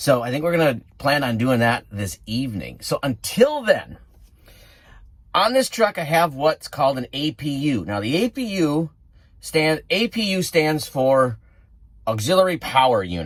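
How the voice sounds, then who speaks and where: With a Wisconsin accent, a man speaks at a moderate pace in a fairly high pitch with very wide pitch swings. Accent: Wisconsin accent, noticeable. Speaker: truck driver and outdoors vlogger. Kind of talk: casual vlog narration. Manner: casual, conversational.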